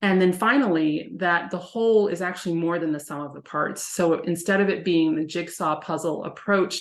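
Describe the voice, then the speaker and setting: With audible room echo, a woman of fairly low pitch talks at a moderate pace, her pitch varying in an ordinary way. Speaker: functional medicine doctor. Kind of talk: lecture.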